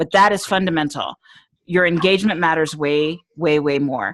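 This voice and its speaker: A woman talks in a normal speaking voice, fairly low in pitch, with ordinary pitch variation. She goes at a fairly slow pace against a quiet background. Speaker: social media trainer. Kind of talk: online training presentation. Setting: video call with screen share.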